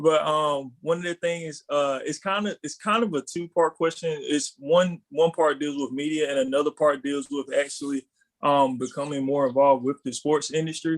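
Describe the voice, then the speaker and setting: A man with a Southern US accent speaks at a fairly high pitch and a moderate pace, with fairly even intonation, hardly any pauses, and a dry, close sound with no echo. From North Carolina, US South. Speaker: recent graduate asking a question. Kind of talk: question from audience on video call. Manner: hesitant, many fillers.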